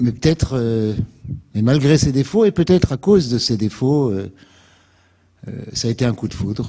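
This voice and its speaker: With a dark, mellow tone, a man speaks at a moderate pace with ordinary pitch variation. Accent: slight Alsatian. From France, Alsace (Strasbourg). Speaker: activist, invited speaker. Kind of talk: public lecture. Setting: lecture hall with audience. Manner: hesitant, many filler sounds.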